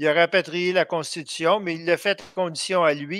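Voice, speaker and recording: A man talks at a fairly slow pace in a high pitch with a bright, sharp tone. The sound is dry and close with no echo, on a very clean recording with a silent background. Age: 60s. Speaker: political activist and blogger. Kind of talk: radio interview. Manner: halting, many hesitations.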